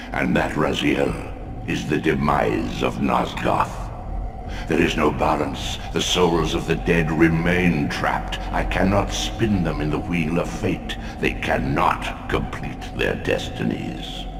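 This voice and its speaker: Using a put-on character voice, a man talks at a fairly slow pace, with a clear echo and loud background noise behind him. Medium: machinima. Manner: solemn, commanding.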